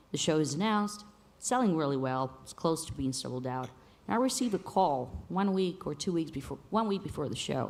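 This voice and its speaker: At a fairly quick pace, a woman with a fairly low pitch speaks with very wide pitch swings. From Bulgaria. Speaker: panel moderator and musician. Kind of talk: panel discussion.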